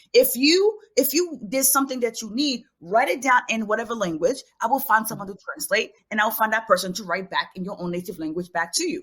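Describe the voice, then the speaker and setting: Speaking at a fairly quick pace with hardly any pauses, a woman with a fairly high pitch uses lively intonation and big swings in loudness. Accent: Haitian. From Haiti, raised in New York City. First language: Haitian Creole. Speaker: children's book author and teacher. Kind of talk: podcast interview.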